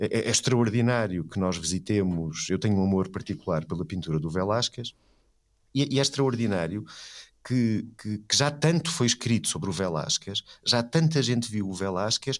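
A man speaks at a moderate pace in a plain, everyday voice. His pitch sits fairly low on a very clean recording with a silent background. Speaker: philosophy professor and art critic. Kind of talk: conversational interview.

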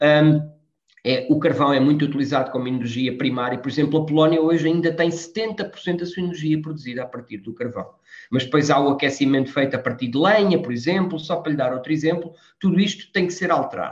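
With ordinary pitch variation, the voice moves along at a fairly quick pace. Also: man, fairly high pitch for a man. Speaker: politician. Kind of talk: interview. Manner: halting.

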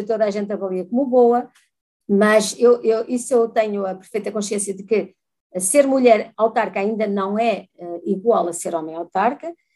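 The woman has a dark, mellow tone and a fairly high pitch. She speaks at a moderate pace with ordinary pitch variation. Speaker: former mayor, politician. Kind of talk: interview.

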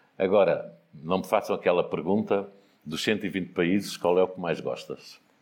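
This is a man talking. His pace is fairly slow. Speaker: businessman and foundation founder. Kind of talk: casual storytelling interview.

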